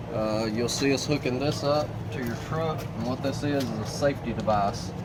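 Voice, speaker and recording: A man speaks at a medium pitch with ordinary pitch variation, over noticeable background noise and audible room echo. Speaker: RV dealer walk-through guide. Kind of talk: tutorial. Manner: fast.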